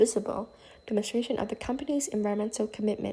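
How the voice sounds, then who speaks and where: A woman speaks in a dark, mellow tone. Her pitch moves with ordinary variation. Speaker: student. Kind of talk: class presentation. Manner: halting; formal.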